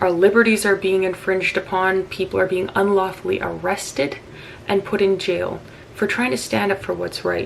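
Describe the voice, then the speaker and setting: Over noticeable background noise, a woman with a Canadian accent speaks at a moderate pace. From Saskatchewan, Canada. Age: 20s. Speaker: political campaign supporter. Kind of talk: political appeal to camera.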